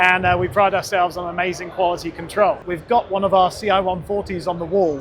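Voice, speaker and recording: Over noticeable background noise, a man talks very fast in a high, monotone, flat voice. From United Kingdom. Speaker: speaker company representative. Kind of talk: product presentation.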